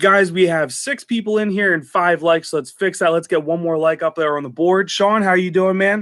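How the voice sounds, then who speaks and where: A man with a high pitch and ordinary pitch variation, at a moderate pace with hardly any pauses. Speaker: diesel truck channel host. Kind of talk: livestream Q&A chat. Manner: casual, conversational.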